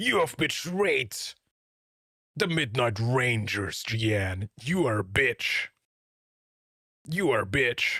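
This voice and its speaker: A man uses a put-on character voice at a medium pitch with very wide pitch swings and very even loudness. He goes at a very slow pace with long, frequent pauses, in a dry, close sound with no echo. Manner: accusatory, scolding.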